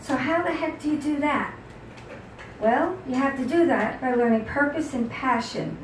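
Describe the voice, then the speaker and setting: A woman with an American accent speaks fairly slowly in a high pitch with lively intonation. There is audible room echo and noticeable background noise. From New York City. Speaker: author. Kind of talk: talk to audience. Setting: book signing with audience.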